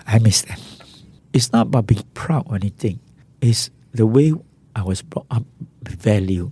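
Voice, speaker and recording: With a Singaporean accent, the voice sounds somewhat breathy and dark, mellow in tone, with ordinary pitch variation. Loudness swings widely, and long pauses come often. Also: man, medium pitch for a man, moderate pace. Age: 60s. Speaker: social entrepreneur. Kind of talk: interview.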